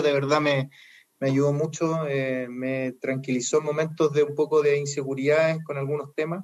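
This man has an ordinary speaking voice, fairly high in pitch, with fairly even intonation and a moderate pace. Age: 40s. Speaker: lay preacher. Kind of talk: casual chat.

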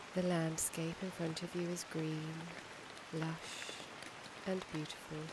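Over noticeable background noise, a woman with a fairly low pitch speaks at a very slow pace in a soothing, calm tone. Her intonation is monotone and flat, with long, frequent pauses. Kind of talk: guided meditation. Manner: slow, soft-spoken, soothing; calm, gentle, with long pauses.

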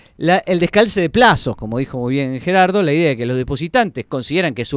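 A man's fairly high voice rises and falls through very wide pitch swings, with a dry, close sound, no echo, and a quiet background. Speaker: radio host. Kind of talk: radio show on economics.

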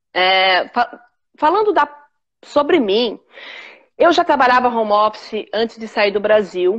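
A woman speaks at a fairly slow pace. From São Paulo, Brazil (Capão Redondo). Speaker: businesswoman. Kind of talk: casual interview on a live stream. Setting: online live stream video call. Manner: halting, many repetitions.

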